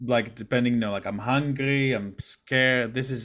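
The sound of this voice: Someone reads a passage. The delivery is an unforced reading voice.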